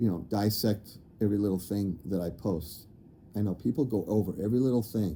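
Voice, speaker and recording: A man speaks at a moderate pace in a dark, mellow tone. His voice is fairly low, with ordinary pitch variation. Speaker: spiritual channeler and video creator. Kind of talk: casual monologue. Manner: rambling with many fillers.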